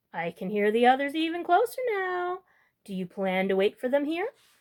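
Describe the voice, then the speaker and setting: A put-on character voice, high in pitch with very wide pitch swings, at a moderate pace. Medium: read story. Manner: smooth, coaxing.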